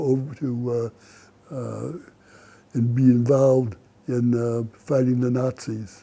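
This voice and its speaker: In a very clean recording with a silent background, a man with an American accent speaks fairly slowly, his medium-pitched voice dark and mellow in tone. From US Midwest, Aurora, Illinois. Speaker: war veteran. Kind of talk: testimony. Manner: halting, many fillers.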